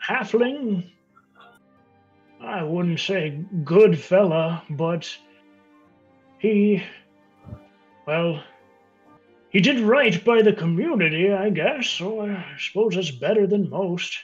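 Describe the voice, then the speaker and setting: Putting on a high-pitched character voice, a man speaks at a very slow pace with long, frequent pauses as faint music plays in the background. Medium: actual play. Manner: rambling, hesitant.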